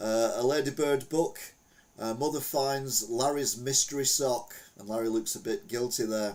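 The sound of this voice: A man speaks at a moderate pace with fairly even intonation and a slightly mellow tone. Room echo is audible.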